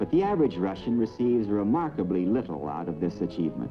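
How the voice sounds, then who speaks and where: Music in the background behind a man's fairly quick speech. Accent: American. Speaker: newsreel narrator. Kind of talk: Cold War newsreel narration. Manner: authoritative, emphatic.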